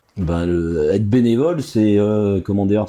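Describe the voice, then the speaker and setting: Lively in intonation yet fairly slow, a man speaks with a fairly low pitch and a dark, mellow tone. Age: 60s. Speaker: youth rugby coach. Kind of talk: interview. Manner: hesitant, many fillers.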